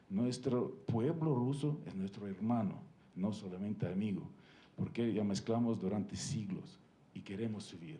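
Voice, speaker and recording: With audible room echo, a man of medium pitch and a dark, mellow tone speaks at a fairly slow pace with lively intonation. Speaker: ambassador. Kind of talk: panel talk. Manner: halting, many fillers.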